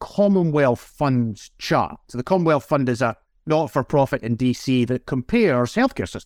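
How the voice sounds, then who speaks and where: In a Scottish accent, a man speaks with a dry, close sound that has no echo. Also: very clean recording, silent background. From Scotland. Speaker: national clinical director, physician. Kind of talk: interview.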